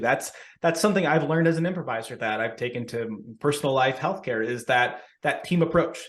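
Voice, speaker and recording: The speaker talks at a very fast pace with lively intonation and an American accent, and the room's echo can be heard. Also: man. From US Southwest (Tucson, Arizona). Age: 30s. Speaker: pharmacist and improv comedian. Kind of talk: podcast interview. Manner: energetic, with many self-repetitions.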